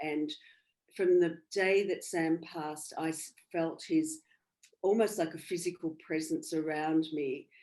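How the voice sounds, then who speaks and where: Her tone dark and mellow, a woman with an Australian accent speaks with monotone, flat intonation. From Australia, country Victoria. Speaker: bereaved mother and medium. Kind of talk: interview. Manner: halting.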